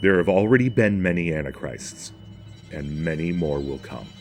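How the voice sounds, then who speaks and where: With music in the background, the speaker talks at a moderate pace in an American accent, using lively intonation. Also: man. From northern United States. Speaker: religion commentator. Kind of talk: spoken essay narration.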